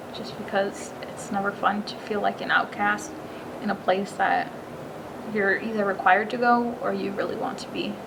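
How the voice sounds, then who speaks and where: Delivered at a moderate pace, the speech has big swings in loudness, with noticeable background noise and audible room echo. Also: woman. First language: Spanish. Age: 20s. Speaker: college student. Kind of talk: personal testimony interview. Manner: casual with frequent fillers.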